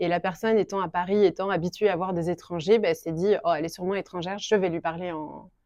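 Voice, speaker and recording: The woman's voice is fairly low in pitch. She speaks at a very fast pace with fairly even intonation. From France. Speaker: shop owner. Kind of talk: interview. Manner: hesitant, many fillers.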